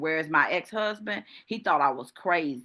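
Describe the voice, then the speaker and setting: A woman speaks with a very deep, low pitch and an animated tone at a moderate pace. Her pitch variation is ordinary, and the background is quiet. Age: 60s. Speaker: business coach. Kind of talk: group coaching session.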